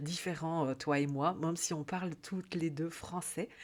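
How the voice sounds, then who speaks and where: A woman with a Belgian accent speaks at a fairly low pitch. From Belgium. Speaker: life coach. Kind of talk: casual vlog monologue. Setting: YouTube video. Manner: hesitant, many fillers (euh).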